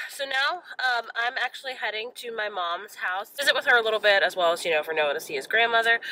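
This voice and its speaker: Speaking at a very fast pace with hardly any pauses, a woman uses a fairly high pitch with very wide swings. Noticeable background noise can be heard. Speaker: book vlogger. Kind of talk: casual vlog.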